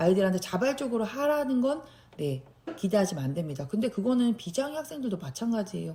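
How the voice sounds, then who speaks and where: Talking at a very fast pace, a woman with a medium pitch and a dark, mellow, somewhat breathy tone swings her pitch very widely. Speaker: special education teacher. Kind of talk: tutorial.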